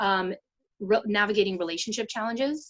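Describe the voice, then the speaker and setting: With a Canadian accent, a woman talks at a moderate pace and a medium pitch. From Vancouver, Canada. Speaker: ADHD coach. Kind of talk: interview. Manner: hesitant, many fillers.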